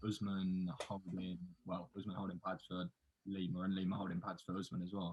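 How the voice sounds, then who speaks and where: A man with an English accent talks at a fairly quick pace. His very deep, low voice stays monotone with flat intonation. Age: 20s. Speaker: podcast host. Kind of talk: casual chat.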